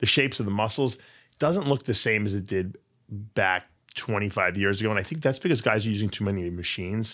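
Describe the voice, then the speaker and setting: Over a very clean recording with a silent background, a man with a Long Island accent speaks very fast in a bright, sharp tone, his pitch fairly low with ordinary variation. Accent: Long Island New York. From Long Island, New York. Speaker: bodybuilder and supplement business owner. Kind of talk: casual podcast interview.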